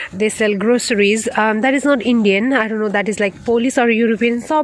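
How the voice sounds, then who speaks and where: Noticeable background noise sits under a woman's fairly high voice. She speaks with a Nepali accent and fairly even intonation. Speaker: nurse vlogger. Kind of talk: casual vlog while walking. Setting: outdoors. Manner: halting.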